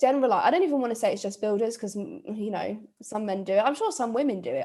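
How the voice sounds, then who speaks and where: A woman with a British accent talks at a very fast pace with ordinary pitch variation. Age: 20s. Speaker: podcast host. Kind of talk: casual chat.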